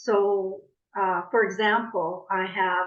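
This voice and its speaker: A woman talks with fairly even intonation. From Canada, born in the Netherlands. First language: Dutch. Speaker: coach. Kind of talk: podcast interview.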